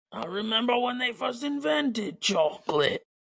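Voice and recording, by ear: Using a put-on character voice, a man speaks with a high pitch at a moderate pace and with lively intonation.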